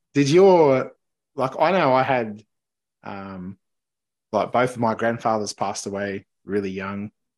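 A man speaks in an Australian accent at a fairly slow pace, with long, frequent pauses and a medium pitch. His intonation is lively, and the background is quiet. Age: 40s. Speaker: podcast host. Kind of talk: casual chat. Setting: remote call.

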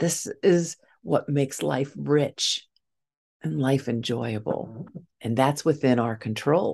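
Using vocal fry and lively intonation, a woman with a very deep, low pitch speaks at a very slow pace against a quiet background. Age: 60s. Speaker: grief podcast host and speaker. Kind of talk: solo motivational talk.

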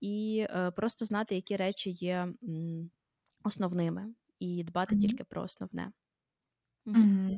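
A woman speaks at a fairly slow pace with fairly even intonation, a dark, mellow tone and long, frequent pauses, in a dry, close sound with no echo. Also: medium pitch for a woman. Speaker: podcast host, mother. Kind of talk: casual chat.

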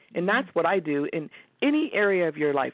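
A woman with a normal speaking voice, a fairly low pitch, and lively intonation. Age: 50s. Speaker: life coach. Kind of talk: interview.

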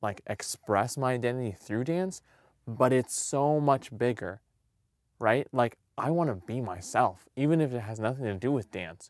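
In a very clean recording with a silent background, a man at medium pitch talks in an animated tone with lively intonation, the sound dry and close with no echo. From Puerto Rican heritage, US. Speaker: dancer and podcast host. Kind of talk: casual solo podcast monologue.

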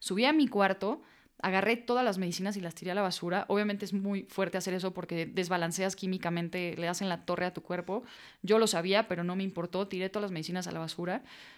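A woman at a medium pitch, very fast pace and fairly even intonation. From Mexico. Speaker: footballer and author. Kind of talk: testimony.

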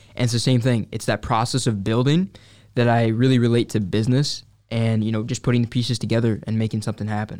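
With an American accent, a man talks at a very fast pace and medium pitch, his intonation fairly even, on a very clean recording with a silent background. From Upstate New York (Syracuse). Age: 20s. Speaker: entrepreneur. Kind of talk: casual chat.

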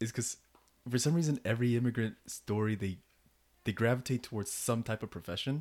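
Using an ordinary speaking voice, a man talks at a fairly quick pace in a medium pitch with ordinary pitch variation. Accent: American. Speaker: podcast host. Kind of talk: casual chat.

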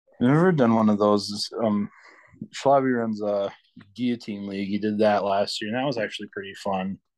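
In a plain, everyday voice, the speaker goes at a moderate pace with fairly even intonation over a quiet background. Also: man, fairly low pitch for a man. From Michigan. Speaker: caller. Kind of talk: casual chat. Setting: remote call.

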